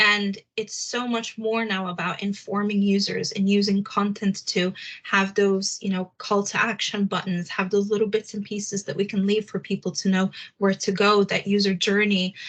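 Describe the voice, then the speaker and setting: A woman speaks in a somewhat breathy, medium-pitched voice with flat, monotone intonation over a quiet background. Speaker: head of SEO at a digital agency. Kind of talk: webinar presentation. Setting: video call. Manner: fast.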